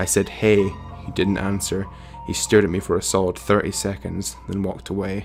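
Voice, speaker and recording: Lively intonation at a moderate pace over music in the background. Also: man. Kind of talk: horror story reading, narrating a first-person story. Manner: hesitant, unpolished reading aloud.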